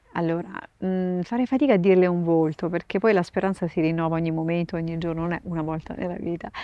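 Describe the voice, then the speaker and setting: Talking at a very fast pace, a woman with a fairly low pitch keeps a fairly even intonation in a dry sound with no echo. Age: 50s. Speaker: nun and sign language interpreter; interviewee. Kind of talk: interview. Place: garden. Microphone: lapel.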